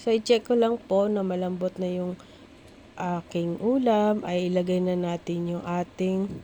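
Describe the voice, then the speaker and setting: Dark and mellow in tone, a woman's voice sits at a medium pitch. She speaks at a fairly slow pace. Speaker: cooking vlogger. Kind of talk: cooking tutorial.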